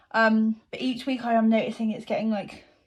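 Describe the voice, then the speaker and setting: A somewhat breathy woman at a fairly quick pace, on a very clean recording with a silent background. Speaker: vlogger. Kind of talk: casual vlog talk.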